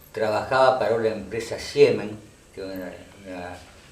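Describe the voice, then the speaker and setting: Noticeable background noise and audible room echo are present. A man speaks at a moderate pace. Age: 60s. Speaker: local elder and former town councillor. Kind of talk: oral history interview. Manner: halting, with repetitions and fillers.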